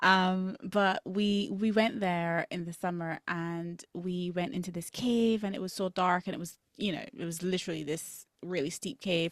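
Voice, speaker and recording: A woman with a Barbadian accent talks at medium pitch with fairly even intonation and hardly any pauses, in a very clean, dry, close recording with no echo and a silent background. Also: moderate pace. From Barbados. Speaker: dietitian and academic mother. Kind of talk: interview conversation.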